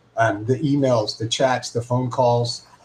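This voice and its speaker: Amid noticeable background noise, a man speaks at a moderate pace in a monotone, flat intonation. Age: 60s. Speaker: guitar shop owner and technician. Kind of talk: casual livestream chat. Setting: live video stream. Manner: halting, many fillers and repeats.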